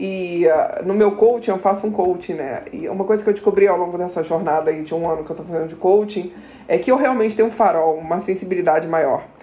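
A woman's medium-pitched voice at a very fast pace with hardly any pauses and ordinary pitch variation, over noticeable background noise. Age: 30s. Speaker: corporate manager. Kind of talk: casual interview.

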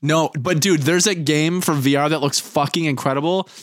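A man's fairly high voice, a plain, everyday voice, with fairly even intonation and a fairly quick pace. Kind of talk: casual chat. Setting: video call.

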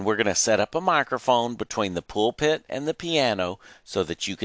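The text is read aloud in a natural voice with lively intonation.

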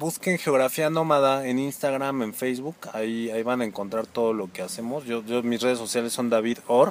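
This is a normal speaking voice at a moderate pace with hardly any pauses and ordinary pitch variation. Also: man, medium pitch for a man. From Mexico, Pachuca (Hidalgo). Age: 30s. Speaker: social psychologist. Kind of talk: interview conversation.

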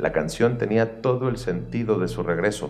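A man at a moderate pace, with audible room echo. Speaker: songwriter and singer. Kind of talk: scripted narration.

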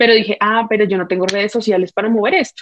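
This woman's voice sits fairly high. She speaks at a very fast pace. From Colombia. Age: 20s. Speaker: social media creator and mother. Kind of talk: casual chat. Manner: animated.

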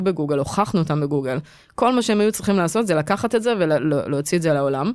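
A woman speaks very fast in a fairly low voice, her intonation lively and bouncing. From Israel, Petah Tikva. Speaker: tech executive. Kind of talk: interview.

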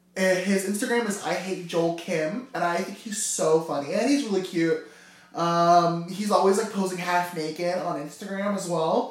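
A man speaks at a moderate pace, his pitch high. Noticeable background noise runs underneath. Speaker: podcast co-host and live streamer. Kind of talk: casual chat. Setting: in a hair salon. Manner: loud.

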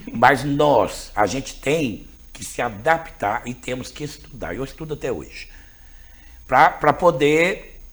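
The voice is somewhat breathy, with lively intonation and a very slow pace. Its loudness rises and falls in big swings. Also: man, fairly high pitch for a man. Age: 50s. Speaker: school principal. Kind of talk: interview conversation.

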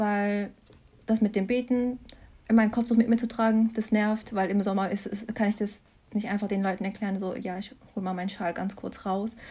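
A woman with a fairly high pitch and a dark, mellow tone speaks somewhat breathily at a moderate pace, her intonation monotone and flat. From Germany, Mannheim. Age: 20s. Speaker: master's student. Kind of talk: casual interview.

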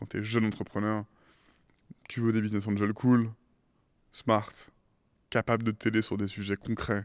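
A man's fairly low voice in a flat monotone, broken by long, frequent pauses, dry and close with no echo. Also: moderate pace, very clean recording, silent background. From France (Paris and Île de Ré). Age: 30s. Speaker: tech startup CEO. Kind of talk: interview.

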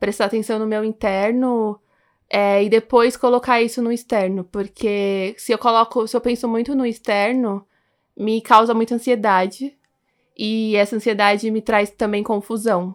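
A woman with a fairly high pitch talks in a flat monotone on a very clean recording with a silent background. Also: moderate pace. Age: 20s. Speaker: journalism graduate. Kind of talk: casual chat.

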